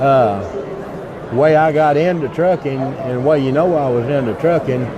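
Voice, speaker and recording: The speech moves at a moderate pace with ordinary pitch variation, heard through noticeable background noise and audible room echo. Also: man, fairly high pitch for a man. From Texas, west and central (San Angelo, Blum). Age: 70s. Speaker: trucking veteran. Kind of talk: interview. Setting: trade show floor. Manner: halting, many fillers.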